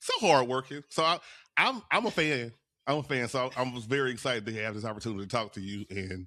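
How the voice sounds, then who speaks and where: Speaking with a Louisiana accent, a man talks at a very fast pace in a bright, sharp tone, at medium pitch with ordinary pitch variation. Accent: Louisiana Southern US. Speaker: podcast host. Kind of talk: casual interview chat.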